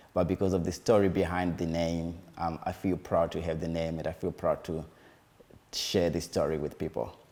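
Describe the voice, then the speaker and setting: This voice has a dark, mellow tone and a Zimbabwean accent. The intonation stays flat and monotone at a moderate pace. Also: man, very deep, low pitch for a man. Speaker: musician and community advocate. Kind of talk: interview. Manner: hesitant, with fillers.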